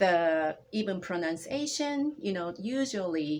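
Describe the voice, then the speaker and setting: A woman in a Japanese accent speaks at a fairly low pitch, her voice making very wide pitch swings. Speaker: language instructor. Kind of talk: interview conversation. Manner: halting.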